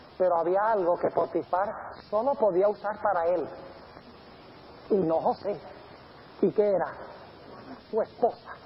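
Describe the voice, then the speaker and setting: With very even loudness and a high pitch, a man talks at a fairly slow pace, leaving long, frequent pauses. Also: ordinary pitch variation. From grew up in Colombia and Venezuela. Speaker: pastor. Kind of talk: sermon.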